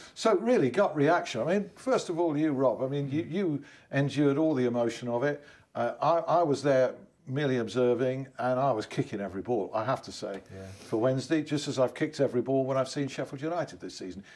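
A man rattles off words very fast, his pitch varying in an ordinary way. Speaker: TV presenter. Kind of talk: presenter introduction and interview questions. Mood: rueful, lightly humorous. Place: studio. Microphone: lapel.

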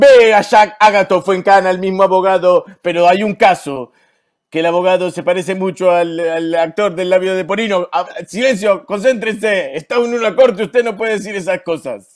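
A man with a Rioplatense accent speaks at a high pitch and a moderate pace, with ordinary pitch variation. The recording is very clean, the background silent. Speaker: improv comedian. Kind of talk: improvised comedy narration.

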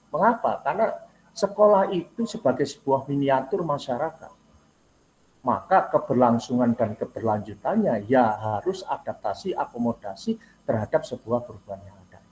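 A somewhat breathy man at a moderate pace, with very wide pitch swings and big swings in loudness. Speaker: university program coordinator; university lecturer presenting to teachers. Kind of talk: lecture. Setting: video call. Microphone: video call.

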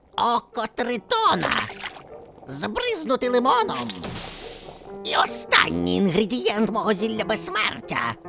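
Over clear background music, a woman uses a put-on character voice, pitched fairly high and delivered at a fairly slow pace. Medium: fan dub. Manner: brash, crude, shouting.

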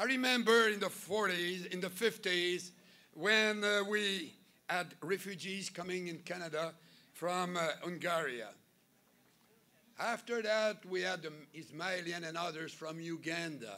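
This man's bright, sharp voice moves at a fairly slow pace with ordinary pitch variation. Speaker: speaker. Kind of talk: political rally speech. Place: hall. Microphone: podium.

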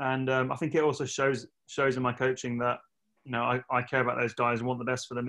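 Very fast talk from a man with an English accent, against a quiet background. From England. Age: 30s. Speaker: retired professional triathlete; coach interviewed. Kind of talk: casual interview. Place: home room. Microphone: video call.

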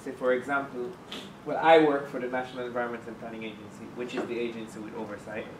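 Over light background noise and audible room echo, a man talks at a very fast pace with fairly even intonation and big swings in loudness. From Jamaica. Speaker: environmental agency official, course participant. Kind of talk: classroom discussion. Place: classroom.

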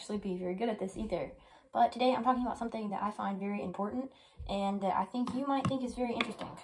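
Against noticeable background noise, a woman with a fairly high voice speaks at a very fast pace with ordinary pitch variation. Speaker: guitarist and YouTube creator. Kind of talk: angry rant to camera about the YouTube algorithm. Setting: solo video to camera, self-recorded. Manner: exasperated, complaining, aggrieved.

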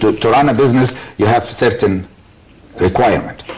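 A man with an Arabic accent, with light background noise. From Egypt. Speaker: business leader; guest. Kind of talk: TV panel discussion. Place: studio.

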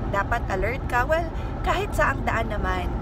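Loud background noise fills a dry recording with no echo. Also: woman. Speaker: family travel vlogger. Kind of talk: casual vlog chat. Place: car. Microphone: phone near.

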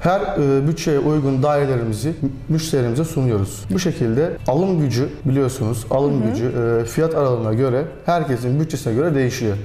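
A man speaks at a fairly quick pace with a fairly high pitch. His pitch varies in an ordinary way, and there is audible room echo. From Aegean Turkey. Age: 20s. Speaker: real estate business owner. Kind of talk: interview. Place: office.

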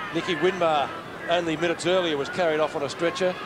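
An animated man with a high pitch and an Australian accent, over noticeable background noise. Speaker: play-by-play commentator. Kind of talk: live sports commentary, AFL match call. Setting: stadium commentary box, live broadcast. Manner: rapid-fire, animated, keeps pace with the play, builds to a crescendo at the final siren.

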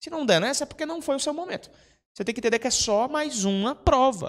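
Extremely high-pitched for a man, his voice has an animated tone and a fairly quick pace. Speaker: prep course teacher and mentor. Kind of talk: mentoring talk to students. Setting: classroom with live audience. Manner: animated, informal, swears. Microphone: handheld.

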